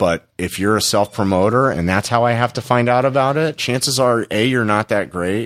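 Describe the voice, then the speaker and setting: In an American accent, a man speaks in a normal speaking voice at a medium pitch and moderate pace, with ordinary pitch variation, hardly any pauses and a dry, close sound with no echo on a very clean recording with a silent background. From Los Angeles. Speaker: comedy club talent coordinator. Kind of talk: casual interview.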